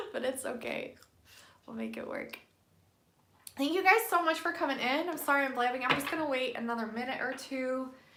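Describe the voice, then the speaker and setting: Against noticeable background noise and audible room echo, a woman talks at a fairly quick pace with long, frequent pauses. Her pitch is high, with ordinary variation. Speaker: tarot card reader livestreamer. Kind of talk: casual live stream chat with card readings. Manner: keeping voice down, quiet.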